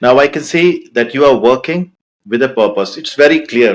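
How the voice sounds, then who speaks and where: A man speaks with an Indian accent. His pitch varies in an ordinary way. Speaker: podcast host. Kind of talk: podcast interview.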